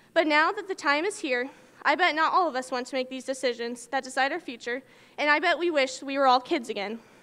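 A woman's high pitch at a fairly quick pace, with ordinary pitch variation. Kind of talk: commencement speech. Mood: nostalgic, warm. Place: hall. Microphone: podium.

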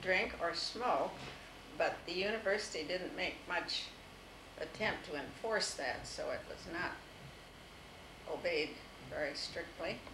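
Against noticeable background noise, a woman with an American accent speaks at a fairly slow pace and medium pitch, with long, frequent pauses. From US Midwest, Toledo, Ohio; Ohio. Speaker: interviewee recalling her life; interviewee. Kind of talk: oral history interview. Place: home room. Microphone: old recording.

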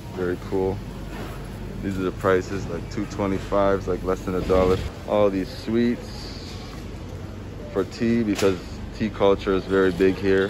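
Over clear background noise, a man speaks at a fairly slow pace in a low pitch with little pitch movement.

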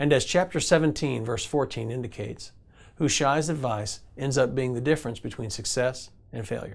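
With vocal fry, a man talks at a moderate pace and ordinary pitch variation. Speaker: devotional teacher. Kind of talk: devotional teaching. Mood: calm, earnest. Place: studio.

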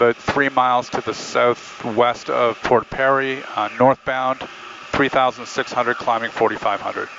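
The speech moves at a moderate pace with a dry sound and no echo. Noticeable background noise can be heard. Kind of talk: casual explanation and radio calls. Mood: calm, relaxed. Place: plane. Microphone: headset.

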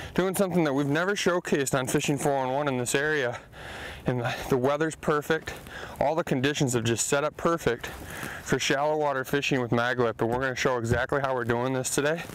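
A man at a fairly quick pace with ordinary pitch variation, dry with no echo, over light background noise. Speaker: fishing show host. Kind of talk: commentary. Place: boat.

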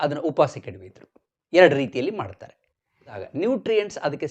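A man's voice shows vocal fry and very wide pitch swings. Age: 60s. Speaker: YouTube health explainer. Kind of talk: explainer monologue. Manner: halting.

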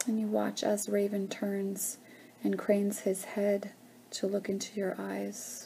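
Soft-spoken and calm, the speaker has a soothing tone and a fairly slow pace over light background noise. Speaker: guided meditation leader. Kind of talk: guided meditation. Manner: slow, soft, soothing, calm and gentle with long pauses and humming. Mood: calm, slow, soothing. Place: home room. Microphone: webcam.

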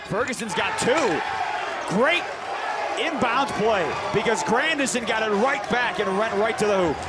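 A man at a fairly slow pace, with loud background noise and a dry sound with no echo. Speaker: play-by-play announcer. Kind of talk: live sports commentary. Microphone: headset.

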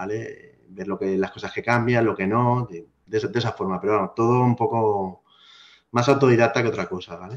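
A moderate pace with fairly even intonation. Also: man. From Spain, Alicante; Spain. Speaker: IT specialist and blogger; blogger. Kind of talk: casual interview chat. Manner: halting, many fillers. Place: home room. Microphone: video call.

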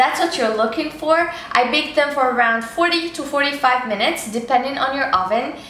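A woman's raised, projected voice with audible room echo. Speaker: cooking show host. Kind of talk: tutorial. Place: kitchen.

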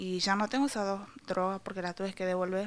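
A woman speaks in a medium pitch with monotone, flat intonation. Her pace is fairly quick. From Salta, Argentina; Argentina. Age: 20s. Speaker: student and cancer patient. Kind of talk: news interview. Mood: worried, pleading. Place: kitchen. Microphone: handheld.

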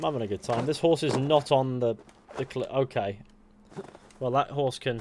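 A medium-pitched man's voice with an English accent at a moderate pace. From England. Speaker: gaming streamer. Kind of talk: live gameplay commentary. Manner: rambling.

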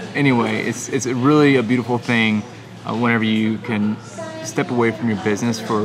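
Fairly even intonation from a man at a moderate pace, with noticeable background noise. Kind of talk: casual vlog chat. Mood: content, reflective. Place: bar. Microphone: phone near.

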